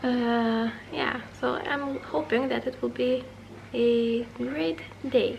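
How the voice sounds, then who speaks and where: A woman speaks at a very slow pace with long, frequent pauses. There is noticeable background noise. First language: not English. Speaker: booktuber. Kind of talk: casual vlog. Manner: halting.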